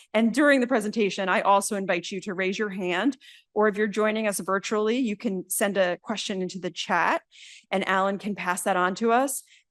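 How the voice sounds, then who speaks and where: A woman with an American accent, medium in pitch, with ordinary pitch variation over a quiet background. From New Jersey. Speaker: minister and university chaplain. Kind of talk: lecture. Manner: fast; animated.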